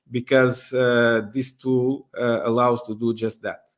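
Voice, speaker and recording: A man speaks in a Portuguese accent. His pitch sits at a medium level. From Portugal. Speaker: university professor and aviation researcher. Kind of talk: interview. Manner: halting, many fillers.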